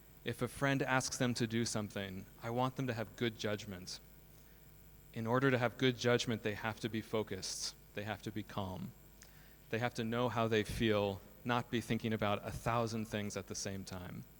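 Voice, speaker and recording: Speaking with an American accent, a man with a plain, everyday voice keeps a medium pitch, fairly even intonation and a moderate pace. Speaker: school principal and co-founder. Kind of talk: conference talk. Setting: stage with audience.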